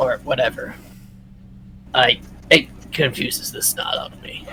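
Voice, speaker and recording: Over clear background noise, a man does a raspy put-on character voice at an extremely high pitch and a moderate pace. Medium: actual play.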